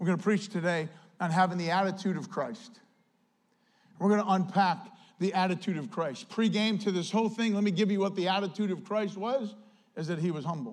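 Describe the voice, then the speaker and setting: Animated in tone, a man with a high pitch talks at a fairly quick pace. His pitch variation is ordinary, and room echo is audible. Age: 50s. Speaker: pastor. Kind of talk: sermon. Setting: church.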